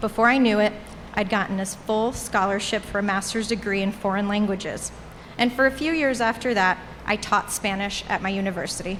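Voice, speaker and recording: A woman at medium pitch talks at a fairly quick pace with ordinary pitch variation. Noticeable background noise sits behind her. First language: Portuguese. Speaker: alumni commencement speaker. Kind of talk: commencement speech. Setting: graduation ceremony with audience.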